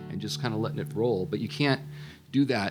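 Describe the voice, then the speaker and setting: Music plays in the background as a man speaks. His fairly low voice swings very widely in pitch. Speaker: guitarist and songwriter. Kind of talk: interview answer.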